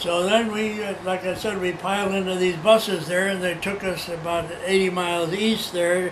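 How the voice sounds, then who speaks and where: A man's high-pitched, monotone, flat voice at a moderate pace, with audible room echo and noticeable background noise. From China. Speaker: oral history interviewee. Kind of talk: oral history interview. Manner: halting.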